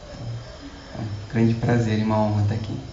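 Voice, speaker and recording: Noticeable background noise and audible room echo surround a man speaking flatly, in a monotone at medium pitch. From Brazil. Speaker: Buddhist lama. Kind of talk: lecture. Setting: stage with audience. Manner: halting.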